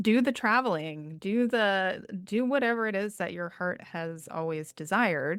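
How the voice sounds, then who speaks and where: In a very clean recording with a silent background, a woman with a normal speaking voice talks fairly slowly at a medium pitch, with lively intonation and hardly any pauses. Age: 40s. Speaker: podcast host. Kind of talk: interview conversation.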